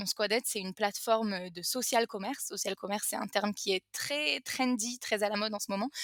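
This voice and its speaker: A woman speaks at a fairly high pitch and a fairly quick pace, with hardly any pauses and ordinary pitch variation. The sound is dry and close, with no echo. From France. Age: 20s. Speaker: entrepreneur. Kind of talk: interview. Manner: halting, many fillers.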